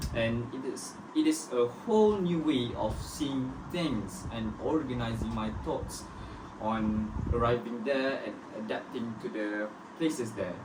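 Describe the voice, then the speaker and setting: With a Malaysian accent, the speaker goes at a fairly slow pace over noticeable background noise. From Malaysia, Pahang (Kuantan). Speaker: student. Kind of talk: scripted group discussion.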